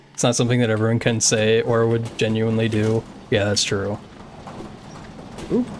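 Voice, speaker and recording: A man talks at a medium pitch while noticeable background noise carries on behind him. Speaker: video game streamer. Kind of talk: casual live-stream chat while speedrunning. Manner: monotone.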